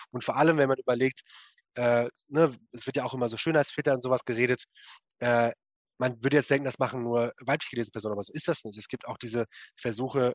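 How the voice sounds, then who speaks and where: In a very clean recording with a silent background and a dry, close sound with no echo, a man talks in a plain, everyday voice at medium pitch with fairly even intonation. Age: 20s. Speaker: writer and activist on masculinity. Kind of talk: interview.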